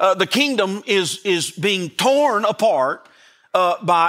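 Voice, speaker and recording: In a raised, projected voice with a Southern US accent, a man speaks at a high pitch with lively intonation and a bright, sharp, animated, warm tone, on a very clean recording with a silent background. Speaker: pastor. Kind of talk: Christmas sermon. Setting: church. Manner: animated, folksy preacher; warm, joking and emphatic, with audience call-and-response.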